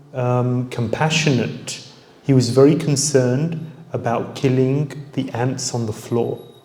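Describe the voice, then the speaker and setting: Fairly even intonation from a man, with noticeable background noise and audible room echo. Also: medium pitch for a man, fairly slow pace. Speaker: spiritual teacher. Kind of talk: lecture.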